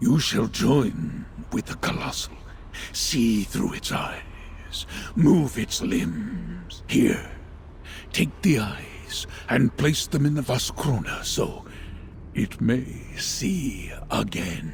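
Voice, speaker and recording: Over clear background noise, a man in a put-on character voice speaks at a very slow pace with long, frequent pauses. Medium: video game. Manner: measured, solemn.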